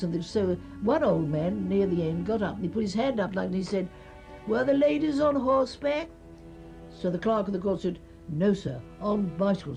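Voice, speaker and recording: Over music in the background, a woman with a London accent speaks at a moderate pace at a medium pitch, her voice making very wide pitch swings. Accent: old-fashioned southern English, London. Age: 80s+. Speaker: early typist and cyclist. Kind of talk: interview answer.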